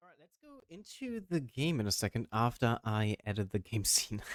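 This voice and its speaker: Speaking with a German accent, a man keeps to a moderate pace. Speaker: VTuber gamer. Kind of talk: gaming commentary. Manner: casual, upbeat.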